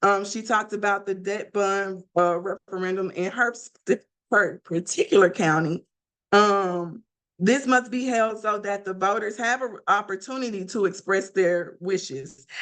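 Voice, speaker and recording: In a Mississippi accent, a woman of medium pitch speaks at a fairly slow pace with ordinary pitch variation. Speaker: class presenter on school finance. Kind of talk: academic presentation. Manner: occasional stumbles and self-corrections.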